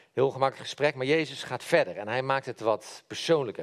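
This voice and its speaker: A man's pitch varies in an ordinary way on a very clean recording over a silent background. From Netherlands, Brabant (Helmond). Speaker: lay preacher. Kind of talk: sermon. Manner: halting.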